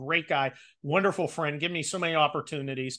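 A man talks at a fairly quick pace in a fairly high voice. His tone is bright and sharp over a quiet background. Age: 50s. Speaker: columnist and army veteran. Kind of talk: casual chat. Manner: animated.

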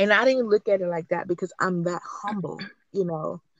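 A woman talks at a medium pitch in an unremarkable speaking voice. Her pace is moderate and her intonation fairly even. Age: 20s. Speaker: anonymous guest sharing personal HIV story. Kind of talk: personal testimony interview.

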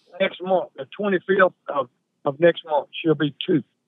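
A high-pitched man with a Southern US accent, at a fairly slow pace with ordinary pitch variation. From Mississippi. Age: 70s. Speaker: coon hunter. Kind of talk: casual chat.

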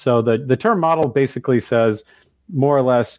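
A man with an unremarkable speaking voice talks at a fairly quick pace and ordinary pitch variation, in a dry, close sound with no echo and a quiet background. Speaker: technology executive. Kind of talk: interview.

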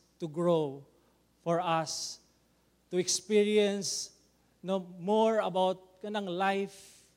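This is a man speaking. He has a Visayan Filipino accent. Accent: Filipino (Cebuano) English. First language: Cebuano. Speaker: pastor. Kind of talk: sermon.

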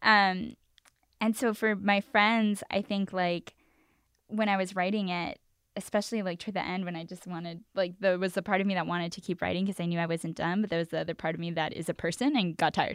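In an American accent, a woman with an unremarkable speaking voice talks at medium pitch and a fairly quick pace, in a dry, close, very clean recording with a silent background and no echo. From East Los Angeles. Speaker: recent college graduate and scholar. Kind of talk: interview. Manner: casual, filler-heavy.

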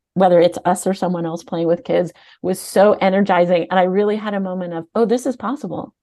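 A woman talks against a quiet background. Her medium-pitched voice has a dark, mellow tone. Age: 50s. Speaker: nonprofit CEO. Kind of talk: interview.

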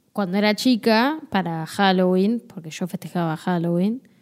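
A woman speaks at a very slow pace with a Rioplatense accent, her pitch medium and its variation ordinary. The recording is very clean, with a silent background. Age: 20s. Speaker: podcast co-host. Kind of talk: casual chat.

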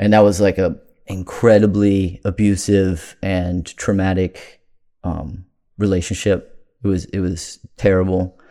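At a fairly slow pace, a speaker with an American accent uses a dark, mellow tone and monotone, flat intonation in a very clean recording with a silent background. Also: man, very deep, low pitch for a man. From Maryland, Prince George's County. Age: 30s. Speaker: recovering addict sharing his story. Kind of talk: personal recovery testimony.

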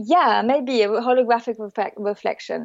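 A woman speaks in a French accent with a fairly high pitch. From south of France. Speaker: emotional therapy practitioner. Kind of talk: casual chat.

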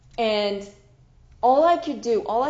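A woman speaks very slowly in a fairly high voice, her intonation lively, with audible echo in the room. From Switzerland. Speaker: podcast host. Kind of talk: solo storytelling monologue. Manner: unscripted, with restarts and repetitions.

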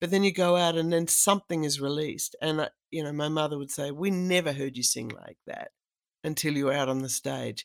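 With an Australian accent, a woman talks at a fairly quick pace in a very deep, low voice, her pitch varying normally and the sound dry and close with no echo. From South Australia, rural. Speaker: cellist and voice artist. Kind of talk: casual interview chat.

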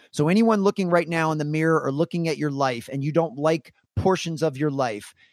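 Over a very clean recording with a silent background, a man talks in a normal speaking voice at a fairly quick pace, with a fairly high pitch and ordinary pitch variation. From US Mid-Atlantic, Washington DC area (Maryland). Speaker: keynote speaker and former basketball performance coach. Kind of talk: interview conversation.

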